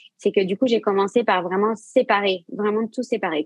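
The speaker is a woman with a medium pitch. Her intonation is fairly even. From Brittany, France (Saint-Malo). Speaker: yoga teacher and sophrologist. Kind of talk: interview. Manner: hesitant, many fillers.

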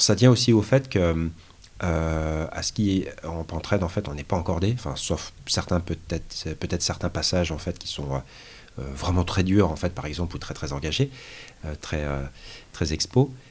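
A man speaks at a moderate pace with a very deep, low pitch. His voice is somewhat breathy, with lively intonation. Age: 40s. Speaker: mountaineer, automotive engineer. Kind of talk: casual interview. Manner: halting, many fillers.

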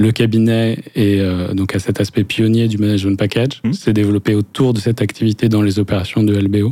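A man speaks at a fairly low pitch in a dark, mellow tone, with monotone, flat intonation. His pace is fairly quick, with hardly any pauses and very even loudness. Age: 40s. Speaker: business lawyer. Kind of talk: interview. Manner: halting, many repetitions.

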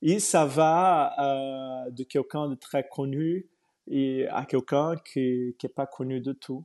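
A man with a Portuguese accent and a fairly high voice speaks very slowly. The sound is dry and close with no echo, over a quiet background. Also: fairly even intonation. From Brazil. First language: Portuguese (speaking French). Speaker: yoga teacher. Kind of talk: interview. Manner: halting.

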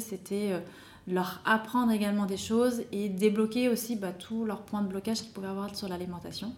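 At a moderate pace, the speech comes out monotone and flat. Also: woman. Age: 30s. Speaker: wellness coach for mothers. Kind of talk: interview.

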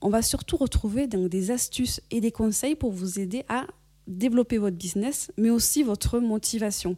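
A woman's fairly high, somewhat breathy voice with a dark, mellow tone and ordinary pitch variation, at a moderate pace, in a dry, close, echo-free and very clean recording with a silent background. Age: 40s. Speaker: podcast host and business coach. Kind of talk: solo podcast monologue. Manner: upbeat.

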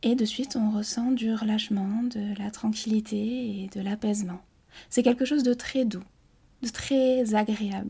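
Calm in tone, a woman speaks with fairly even intonation in a somewhat breathy, dark, mellow voice. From French Basque Country. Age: 20s. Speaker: hypnotherapist. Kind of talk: interview. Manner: calm, slow.

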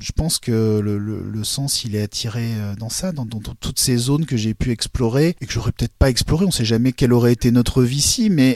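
A man talks in a normal speaking voice at medium pitch with ordinary pitch variation. The sound is dry and close with no echo. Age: 40s. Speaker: blind consultant and coach. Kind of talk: interview testimony.

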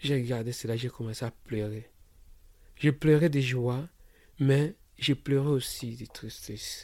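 Somewhat breathy, a man with a medium pitch speaks at a very slow pace with fairly even intonation, big swings in loudness, and long, frequent pauses. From DR Congo, Kinshasa. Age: 30s. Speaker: refugee and maintenance technician. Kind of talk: personal testimony. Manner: halting, repetitive.

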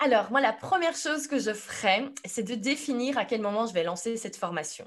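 A woman speaks in a plain, everyday voice at a fairly high pitch. Her pace is fairly quick, against a quiet background. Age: 30s. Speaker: entrepreneur and online business coach. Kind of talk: podcast interview.

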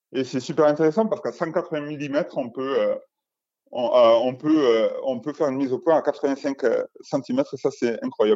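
At a fairly slow pace, a man with an ordinary speaking voice talks in a fairly high pitch. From southern France, Albi. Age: 30s. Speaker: portrait photographer. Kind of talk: interview.

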